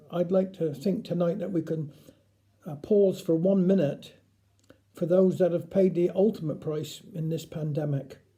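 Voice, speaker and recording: A man's high-pitched voice with a dark, mellow tone and fairly even intonation, in a Cornish accent. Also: moderate pace. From Cornwall. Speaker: dialect storyteller. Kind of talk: casual talk to camera.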